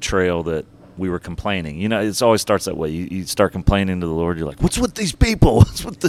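A man speaks with a very deep, low pitch. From Southern US, born in Georgia. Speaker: podcast guest, traveling ministry speaker.

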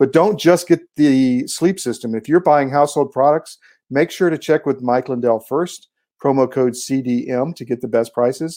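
On a very clean recording with a silent background, a man speaks in a dark, mellow tone with a fairly high pitch. His pace is moderate and his pitch variation ordinary. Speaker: sponsor ad reader. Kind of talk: sales pitch.

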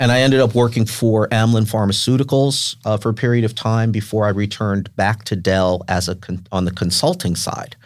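With an American accent and a plain, everyday voice, a man speaks at a fairly quick pace and fairly low pitch with ordinary pitch variation on a very clean recording with a silent background. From New York, Westchester County. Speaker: nonprofit executive. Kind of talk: interview.

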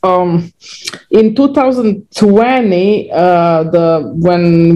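A woman in a Croatian accent, fairly low in pitch with a dark, mellow tone. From Croatia (former Yugoslavia). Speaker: restaurant founder and CEO. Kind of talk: interview. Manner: halting, many fillers and repetitions.

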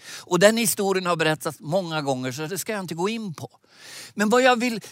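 A man with a high voice is heard in a dry, close sound with no echo on a very clean recording with a silent background. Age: old. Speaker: preacher. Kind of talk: sermon. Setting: digital conference broadcast.

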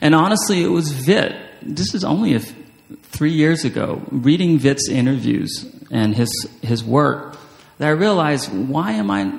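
Against noticeable background noise, a man with a fairly high pitch speaks at a moderate pace with lively intonation. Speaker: writer and creative writing professor. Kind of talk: author talk and reading aloud. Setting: stage with audience. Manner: halting.

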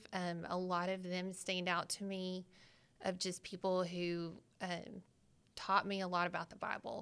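A woman with a Southern US accent speaks at a medium pitch and a fairly slow pace. Her intonation is monotone and flat. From Arkansas. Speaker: pastor's wife and graphic designer. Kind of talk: casual chat.

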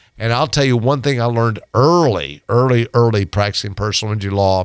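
A man's medium-pitched voice with ordinary pitch variation, dry and close with no echo, on a very clean recording against a silent background. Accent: American. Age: 60s. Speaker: personal injury lawyer. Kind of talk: radio interview. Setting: radio studio. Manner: hesitant fillers.

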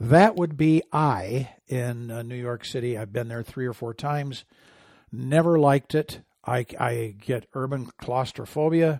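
A man with an American accent talks fairly slowly in an ordinary speaking voice, at a medium pitch with ordinary pitch variation. The recording is very clean with a silent background, and the sound is dry and close with no echo. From Michigan, small farm town. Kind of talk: radio commentary monologue.

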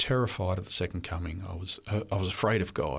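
A man talks at a moderate pace, and the recording is very clean with a silent background. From Australia (New South Wales). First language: French. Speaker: history professor. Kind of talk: interview. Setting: studio.

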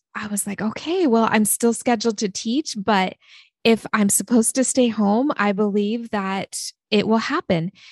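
With an American accent and a normal speaking voice, a woman speaks at a moderate pace and a fairly high pitch with ordinary pitch variation, recorded dry and close with no echo against a quiet background. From small-town Oregon. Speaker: author and former writing teacher. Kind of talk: testimony.

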